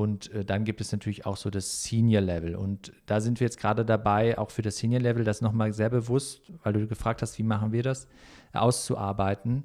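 Over a very clean recording with a silent background, a man speaks at a moderate pace in a fairly low voice with a dark, mellow tone and monotone, flat intonation. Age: 30s. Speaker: management consultancy CEO and former handball player. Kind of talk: interview.

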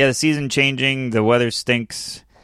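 A man talks with an upstate New York accent. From upstate New York (Syracuse). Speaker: comedian. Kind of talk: casual chat.

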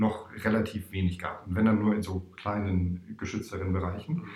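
This man's pitch is fairly low, and his voice is somewhat breathy. He keeps a moderate pace with fairly even intonation. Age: 40s. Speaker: startup investment manager and coach. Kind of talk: interview.

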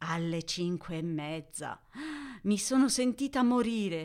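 On a very clean recording with a silent background, a woman talks at a very slow pace. Her pitch swings very widely. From Italy. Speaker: podcast host, Italian teacher. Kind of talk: educational monologue for Italian learners. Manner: clear, measured.

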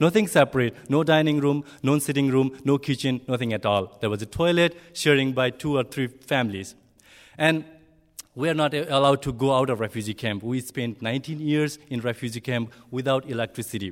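A man with a Nepali accent, his pitch variation ordinary. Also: medium pitch for a man, fairly quick pace. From southern Bhutan, Nepali-speaking community. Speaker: refugee, ESL teacher. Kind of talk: personal testimony to an audience. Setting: speaking in front of a live audience. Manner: halting, hesitant non-native speech.

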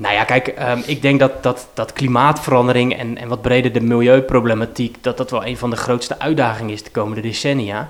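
Fairly quick and monotone, a man speaks with flat intonation. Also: medium pitch for a man. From Rotterdam-Zuid, Netherlands. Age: 30s. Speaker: politician. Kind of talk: interview. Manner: halting.

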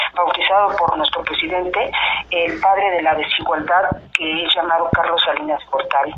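A woman with a medium pitch speaks at a moderate pace and with fairly even intonation, with noticeable background noise behind her. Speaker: laid-off electrical worker, union activist. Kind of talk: phone interview. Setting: phone call. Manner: hesitant, many fillers.

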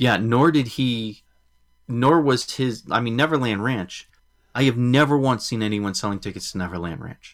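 A man with an American accent and an unremarkable speaking voice, medium pitch, ordinary pitch variation and a moderate pace. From Massachusetts. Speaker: podcast host. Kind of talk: casual chat.

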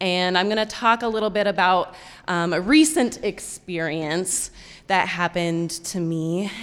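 A woman with an American accent speaks at a fairly slow pace in an ordinary speaking voice, her pitch fairly low and its variation ordinary. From Colorado. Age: 20s. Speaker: storyteller. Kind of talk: live storytelling. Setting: stage with audience.

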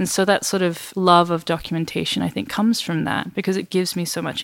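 A woman with an Australian accent speaks at a fairly low pitch. Her pace is fairly quick, on a very clean recording with a silent background. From Western Australia, Perth. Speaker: photographer. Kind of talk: interview conversation.

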